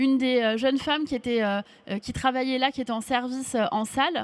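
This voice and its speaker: A woman speaks at a fairly quick pace in a high pitch, her intonation fairly even. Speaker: public official speaking at a conference. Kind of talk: speech. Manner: fast.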